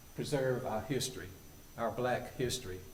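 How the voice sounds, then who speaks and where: In a western North Carolina accent, a man with a medium pitch speaks at a moderate pace and fairly even intonation, amid noticeable background noise and audible room echo. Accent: Southern US (western North Carolina). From US South. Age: 70s. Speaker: public commenter. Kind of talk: public comment at town council meeting. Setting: town council meeting.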